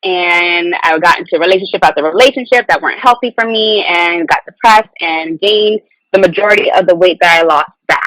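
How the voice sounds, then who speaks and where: An unremarkable speaking voice with an American accent moves at a fairly quick pace with hardly any pauses and ordinary pitch variation. The sound is dry and close, with no echo. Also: woman, medium pitch for a woman. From Long Island, New York and Virginia Beach, Virginia. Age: 20s. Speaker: health and wellness coach. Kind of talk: podcast interview, personal story.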